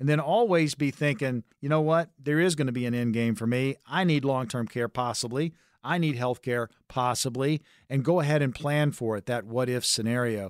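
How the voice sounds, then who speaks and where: A man with a plain, everyday voice talks at a medium pitch and moderate pace. His pitch varies in an ordinary way, and the sound is dry and close with no echo. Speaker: radio host and consumer advocate. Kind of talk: sales pitch. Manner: urgent, punchy, repeating the phone number.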